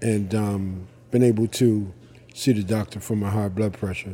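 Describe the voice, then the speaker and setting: His dark, mellow tone and fairly low pitch carry a monotone, flat intonation as the man talks. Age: 60s. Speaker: homeless shelter resident. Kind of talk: interview.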